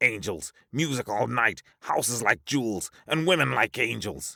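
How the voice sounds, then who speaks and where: A man puts on a growling character voice at medium pitch, swinging very widely up and down. He talks at a moderate pace on a very clean recording with a silent background. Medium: read story. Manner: frantic, insistent.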